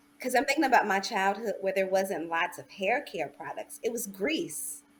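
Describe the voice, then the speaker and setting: Speaking at a moderate pace with an American accent, a woman at medium pitch shows very wide pitch swings and big swings in loudness. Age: 40s. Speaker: doctoral student, panellist. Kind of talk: panel discussion.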